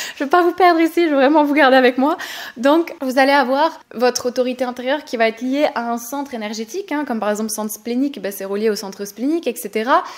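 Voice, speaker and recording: Over noticeable background noise, a woman with a high pitch talks at a very fast pace with ordinary pitch variation. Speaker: human design coach and podcast host. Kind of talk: tutorial podcast. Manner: enthusiastic.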